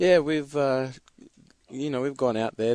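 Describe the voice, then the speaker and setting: A man speaks with an Australian accent and ordinary pitch variation. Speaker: basketball player. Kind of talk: radio interview. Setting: studio.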